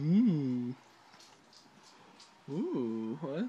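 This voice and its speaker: Soft-spoken, the voice moves with lively intonation. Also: man. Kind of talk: casual selfie video chat. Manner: drowsy, numb-mouthed murmuring. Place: home room. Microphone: phone near.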